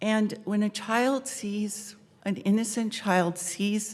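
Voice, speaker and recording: Speaking very slowly, a woman keeps her intonation fairly even in a somewhat breathy voice. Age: 60s. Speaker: public commenter. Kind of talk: public comment. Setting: city council meeting.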